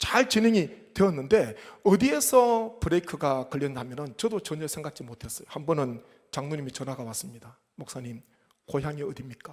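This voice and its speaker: This man has a fairly high pitch and very wide pitch swings. His loudness also rises and falls in big swings. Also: moderate pace. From South Korea, Gyeongsang (Gyeongbuk Gyeongsan). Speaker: pastor. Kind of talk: sermon.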